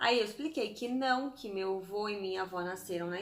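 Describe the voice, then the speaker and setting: The speaker is a woman with an ordinary speaking voice. Her pace is moderate and her pitch varies in an ordinary way. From Brazil, Santos. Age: 30s. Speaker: vlogger. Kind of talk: casual vlog storytelling.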